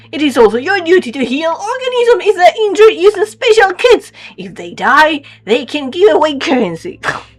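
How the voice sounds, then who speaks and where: The put-on character voice sits at an extremely high pitch and swings very widely in pitch. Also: moderate pace. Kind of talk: formal, clinical. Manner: stiff, formal, detached.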